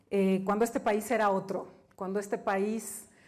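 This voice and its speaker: Here is an unremarkable speaking voice from a woman with medium pitch. She keeps a moderate pace and fairly even intonation. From Mexico. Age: 50s. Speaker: business executive and author. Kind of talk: keynote talk.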